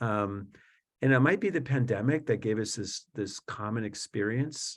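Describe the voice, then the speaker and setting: A man with an American accent speaks at a moderate pace in a medium pitch. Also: ordinary pitch variation. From South Florida. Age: 50s. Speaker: Jesuit priest and author. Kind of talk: webinar interview. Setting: video webinar. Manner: hesitant, many fillers.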